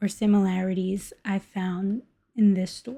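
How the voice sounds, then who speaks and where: In a very clean recording with a silent background, a woman speaks at a very slow pace in a dark, mellow, somewhat breathy tone. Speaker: art vlogger. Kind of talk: vlog narration.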